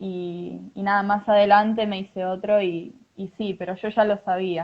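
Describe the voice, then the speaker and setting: Speaking in a monotone, flat intonation, a woman keeps a fairly slow pace. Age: 20s. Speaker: mother sharing birth story. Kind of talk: testimony. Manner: halting.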